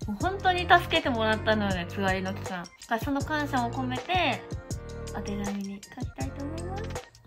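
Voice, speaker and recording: Someone speaks at a fairly quick pace with a Kansai accent while music plays clearly in the background. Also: woman. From Osaka. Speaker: pregnant vlogger. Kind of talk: casual vlog talk to camera. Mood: happy, emotional, giggly. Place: home room. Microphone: phone near.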